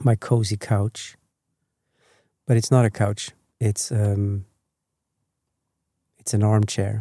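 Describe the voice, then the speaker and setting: Very slow, calm and gentle delivery with long, frequent pauses, flat monotone intonation, a dark, mellow, somewhat breathy tone, and dry, close sound with no echo. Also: man, fairly low pitch for a man. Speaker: sleep podcast host. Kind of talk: sleep podcast, gentle rambling talk. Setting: recorded at home on an armchair. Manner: calm, gentle, slow.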